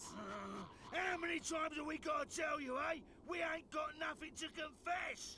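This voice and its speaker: Shouting in a put-on character voice with an extremely high pitch, a man goes at a moderate pace over clear background noise. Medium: video game. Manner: haughty, indignant.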